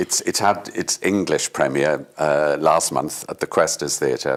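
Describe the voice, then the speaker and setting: Someone with a Welsh accent speaks at a fairly slow pace. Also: man. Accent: Welsh (Swansea). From Wales, Swansea. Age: 70s. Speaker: stage actor. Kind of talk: interview. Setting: studio.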